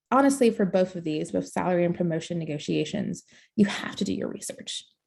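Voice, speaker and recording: A woman's medium-pitched voice with vocal fry, lively intonation and a fairly quick pace. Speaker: career coach. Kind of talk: webinar presentation. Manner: fast.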